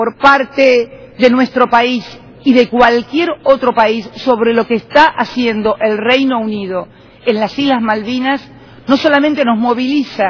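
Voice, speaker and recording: A woman speaks at a fairly slow pace with a high pitch. Her intonation stays fairly even. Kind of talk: formal speech. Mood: firm, argumentative. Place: hall. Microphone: podium.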